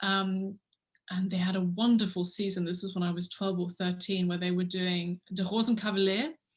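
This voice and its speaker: Somewhat breathy and with an English accent, a woman speaks at a moderate pace and medium pitch in a flat, monotone way. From England, London. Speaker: orchestra conductor. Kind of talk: interview. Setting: video call.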